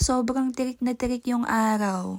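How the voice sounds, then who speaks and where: A woman speaks with a fairly high pitch and a dark, mellow tone. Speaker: vlogger. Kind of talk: vlog voice-over narration.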